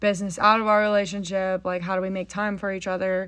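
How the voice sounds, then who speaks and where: The speaker has a Texan accent, recorded against a quiet background. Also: woman. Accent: Texan American. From Texas, Frisco. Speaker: podcast host, horse trainer. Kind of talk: casual chat. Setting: home barndominium.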